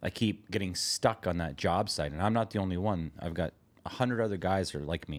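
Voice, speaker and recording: Recorded very cleanly against a silent background, a man with a Canadian accent speaks in a very deep, low voice with ordinary pitch variation. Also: fairly quick pace. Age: 50s. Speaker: podcast co-host and construction business owner. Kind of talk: casual chat. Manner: blunt, direct.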